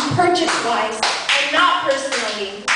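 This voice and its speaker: This is a woman speaking. Noticeable background noise can be heard. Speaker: slam poet. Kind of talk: slam poetry performance. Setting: live venue.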